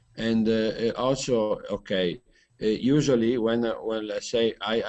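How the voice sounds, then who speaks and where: Against a quiet background, a man with an Italian accent talks at a medium pitch with fairly even intonation. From Italy. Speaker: hangout participant, interviewer. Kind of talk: group video chat discussion. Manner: halting, many fillers.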